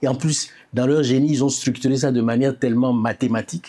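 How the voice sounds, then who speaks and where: The voice has a dark, mellow tone. It belongs to a man. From Benin, Porto-Novo. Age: 70s. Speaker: architect and poet, author on Ifá. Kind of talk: interview.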